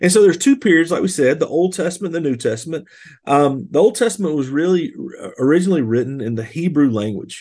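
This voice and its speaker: A man with a Southern US accent at a very fast pace, very wide pitch swings, and a quiet background. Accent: Southern US (Georgia). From US South, rural Georgia. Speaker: pastor. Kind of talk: podcast teaching monologue. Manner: casual, conversational with fillers.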